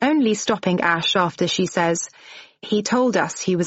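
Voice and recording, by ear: Here there is reading aloud in a natural voice.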